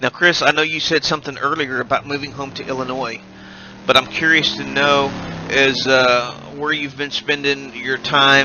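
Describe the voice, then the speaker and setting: A man with an American accent, fairly high pitch, moderate pace and fairly even intonation, over noticeable background noise. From United States. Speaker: sim racing commentator. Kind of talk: live commentary. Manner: hesitant, many uh fillers.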